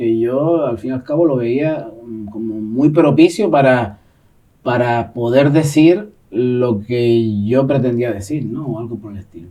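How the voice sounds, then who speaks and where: A man speaks at a fairly slow pace in a medium pitch, his tone dark and mellow, his pitch varying in an ordinary way while his loudness swings widely. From Gran Canaria, Canary Islands. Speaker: poet and secondary school teacher. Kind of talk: interview answer.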